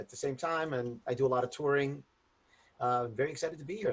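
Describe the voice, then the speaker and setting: A man with an American accent talks at a very fast pace in a medium, somewhat breathy voice with ordinary pitch variation. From Chicago. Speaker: improv director. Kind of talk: panel introduction.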